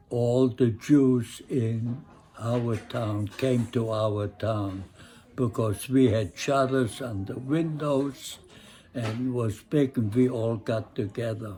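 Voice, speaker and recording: Speaking at a very slow pace, a man has a medium pitch and a somewhat breathy, dark, mellow tone. His intonation stays fairly even. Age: 80s+. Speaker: Holocaust survivor. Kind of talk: interview answer.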